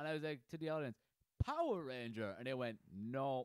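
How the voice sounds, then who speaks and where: In an Irish accent, a man talks at a very fast pace with a dry, close sound and no echo. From Ireland, Carlow. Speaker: podcast host and aspiring comedian. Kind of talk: casual chat.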